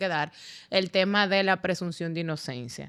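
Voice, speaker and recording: A woman talks at a moderate pace with medium pitch and ordinary pitch variation. Her tone is bright and sharp, and the recording is very clean with a silent background. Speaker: lawyer and podcast host. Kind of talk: podcast interview. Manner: relaxed, informal.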